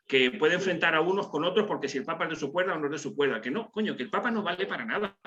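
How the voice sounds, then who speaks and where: Against noticeable background noise, a man talks at a high pitch with lively intonation. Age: 60s. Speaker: participant in a religious discussion group. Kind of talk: group video call discussion. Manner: hesitant, many fillers and repetitions.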